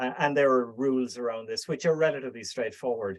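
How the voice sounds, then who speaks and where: Fairly even in intonation, a man talks at a medium pitch with an Irish accent. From Ireland. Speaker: speaker at a business networking group. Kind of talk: Q&A answer in online meeting.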